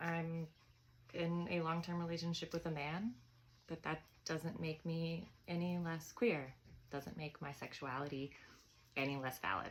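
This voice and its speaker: A woman speaks at a fairly slow pace with a fairly low pitch. Her intonation is fairly even, broken by long, frequent pauses. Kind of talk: casual talk to camera.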